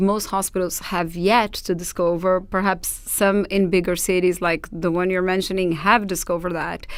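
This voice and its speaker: Speech comes in a Portuguese accent at a moderate pace. There are hardly any pauses. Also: woman. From Brazil, Sao Paulo. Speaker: doula trainer. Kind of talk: podcast interview.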